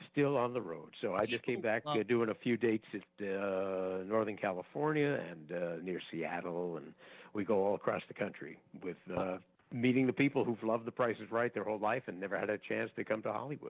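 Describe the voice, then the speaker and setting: Speaking at a fairly quick pace, a man with a normal speaking voice uses a fairly low pitch and ordinary pitch variation. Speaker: game show announcer and host, voice actor. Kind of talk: casual interview answers, conversational.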